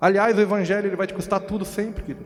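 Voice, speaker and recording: A man talks at a high pitch over noticeable background noise. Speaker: pastor. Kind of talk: sermon.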